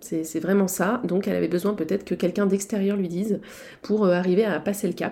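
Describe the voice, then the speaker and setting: A woman's dark, mellow voice at a fairly quick pace, in a very clean recording with a silent background. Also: medium pitch for a woman, fairly even intonation. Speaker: naturopath and spiritual healing therapist podcaster. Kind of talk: solo podcast monologue, case walkthrough. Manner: hesitant with frequent fillers.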